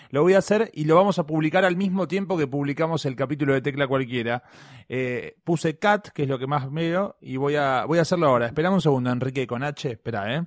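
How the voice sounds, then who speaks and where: On a very clean recording with a silent background, a man talks at a fairly quick pace, his fairly high pitch showing ordinary variation. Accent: Rioplatense. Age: young. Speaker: podcast co-host. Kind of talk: casual chat.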